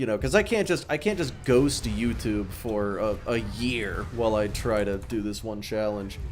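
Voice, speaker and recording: A man's fairly low voice with ordinary pitch variation, hardly any pauses, and audible room echo. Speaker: gaming streamer and YouTuber. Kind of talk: casual live-stream gameplay chat. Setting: live stream while playing a game. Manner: slow; halting, many fillers and restarts.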